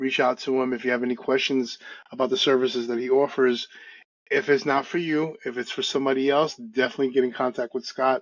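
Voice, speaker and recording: Talking very fast, a man with a New York accent keeps a medium pitch. His intonation stays fairly even. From US Northeast, Brooklyn, New York. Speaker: podcast host and real estate agent. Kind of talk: interview.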